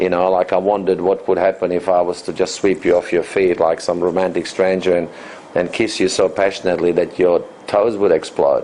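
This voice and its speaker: Someone speaks with an Australian accent at a fairly quick pace and very even loudness. Noticeable background noise runs underneath. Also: man. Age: 50s. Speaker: dating coach and author. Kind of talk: interview.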